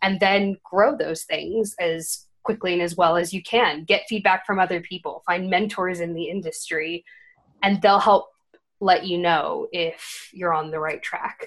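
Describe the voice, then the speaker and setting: Speaking at a fairly slow pace, a woman with an American accent has a plain, everyday voice, medium in pitch, with fairly even intonation. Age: 20s. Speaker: marketing agency founder. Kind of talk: casual interview.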